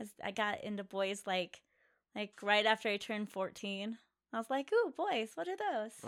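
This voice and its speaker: At a moderate pace, a woman with an American accent talks in an ordinary speaking voice, fairly high in pitch with ordinary pitch variation. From Colorado. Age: 40s. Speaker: podcast co-host, adult entertainment industry. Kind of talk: casual chat.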